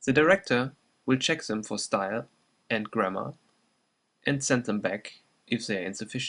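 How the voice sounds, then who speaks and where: This man speaks with a slight German accent at a medium pitch, his intonation lively and his pauses long and frequent. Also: moderate pace. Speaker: presenter. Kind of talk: scripted narration. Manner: formal.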